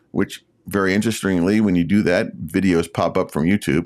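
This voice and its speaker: The recording is very clean, with a silent background. A man with a fairly low pitch and an unremarkable speaking voice talks at a moderate pace. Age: 60s. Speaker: YouTube creator. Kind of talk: casual talk to camera, live stream. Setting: live stream.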